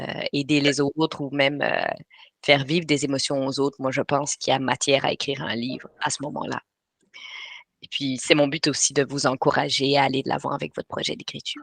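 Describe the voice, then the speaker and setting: A woman's very deep, low voice with a slight Belgian accent, monotone and flat, at a fairly quick pace, in dry, close sound with no echo. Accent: slight European (Belgian) French. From Belgium, Brussels. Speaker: writing coach. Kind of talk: webinar presentation. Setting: live online webinar. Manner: hesitant, many filler sounds.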